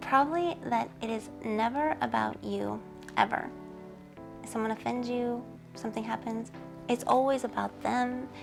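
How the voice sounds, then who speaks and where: With music in the background, a soft-spoken woman talks at a moderate pace with long, frequent pauses. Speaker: supermodel and author. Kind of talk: interview answer.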